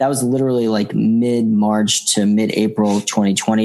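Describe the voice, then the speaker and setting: An ordinary speaking voice from a man with an American accent, fairly low in pitch, with fairly even intonation. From Boston. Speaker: comedian. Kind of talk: casual chat.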